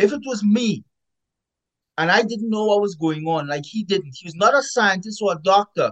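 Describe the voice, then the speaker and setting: A man with a Caribbean accent talks at a high pitch. The sound is dry and close, with no echo. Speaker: epidemiologist author. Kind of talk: interview. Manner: emphatic.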